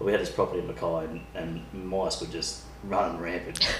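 With an Australian accent, a man talks at a moderate pace amid noticeable background noise and audible room echo. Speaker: podcast host. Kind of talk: casual chat. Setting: kitchen table.

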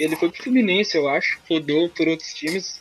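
A man speaks with music in the background. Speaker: football podcast host. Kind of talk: casual chat.

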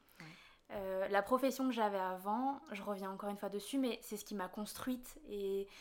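A woman at a fairly high pitch, with a moderate pace and fairly even intonation. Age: 20s. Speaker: artist and trainee interior decorator. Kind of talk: interview. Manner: halting, with frequent hesitations.

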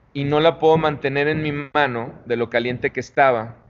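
Against noticeable background noise, a man talks at a moderate pace with a fairly high pitch. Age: 40s. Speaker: tequila brand founder. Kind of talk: interview. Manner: halting, with repetitions.

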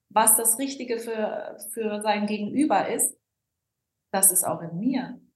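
Audible room echo surrounds a woman speaking at a very slow pace. Her voice is high, with ordinary pitch variation. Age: 40s. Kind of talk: podcast interview. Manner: animated.

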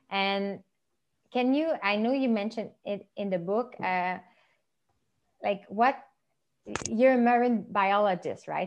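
A woman with a Quebec accent speaks at a fairly slow pace and a medium pitch. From Quebec, Montreal. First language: French. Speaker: podcast host. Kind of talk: casual interview chat.

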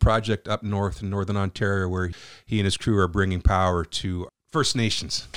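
A man with an unremarkable speaking voice at a fairly quick pace, ordinary pitch variation, and a dry, close sound with no echo on a very clean recording with a silent background. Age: 50s. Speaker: podcast host. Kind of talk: casual chat; scripted narration.

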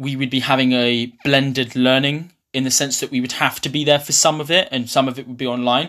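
In a southern English accent, a man speaks at a medium pitch with a bright, sharp tone. His delivery is monotone and flat, and the recording is very clean with a silent background. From eastern England, Ipswich. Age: young. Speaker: university student. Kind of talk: interview.

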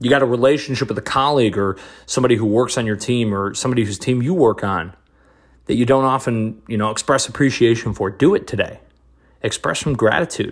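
Speaking very fast in an energetic tone, a man uses a medium pitch with ordinary pitch variation. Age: 20s. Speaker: podcast host. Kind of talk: motivational solo monologue.

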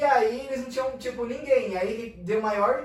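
A man at a moderate pace, with audible room echo. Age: 20s. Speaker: journalism student and church social media influencer. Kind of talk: casual chat.

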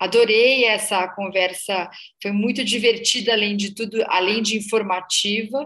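A woman with a bright, sharp tone speaks fairly slowly in a fairly high voice with fairly even intonation. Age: 50s. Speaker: podcast host. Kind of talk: interview.

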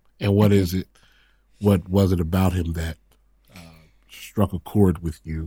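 Pausing long and often, a man speaks fairly slowly in a very deep, low voice with a dark, mellow tone, somewhat breathy and monotone, in a dry, close sound with no echo. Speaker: podcast co-host with his wife. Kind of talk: casual chat. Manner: relaxed.

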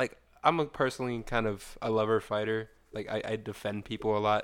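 A man with a normal speaking voice, fairly low in pitch, at a fairly quick pace, in a very clean recording with a silent background. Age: 20s. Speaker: podcast co-host. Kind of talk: casual chat.

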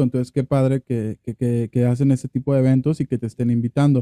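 Speaking fairly quickly at a medium pitch, a man uses a dark, mellow tone and fairly even intonation. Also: dry, close sound with no echo. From Mexico, Sinaloa. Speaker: podcast host. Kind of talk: interview.

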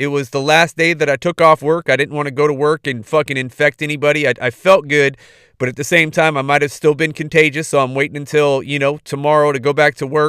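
The voice comes across bright, sharp and animated at a fairly quick pace, on a very clean recording with a silent background and a dry, close sound with no echo. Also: man. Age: 40s. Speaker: podcast host. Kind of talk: casual monologue.

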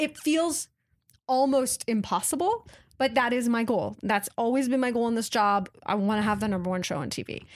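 With an American accent, a woman speaks at a fairly high pitch in an unremarkable speaking voice. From Washington State, US. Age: 30s. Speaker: TV network executive. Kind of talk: interview. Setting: in person, Montreal.

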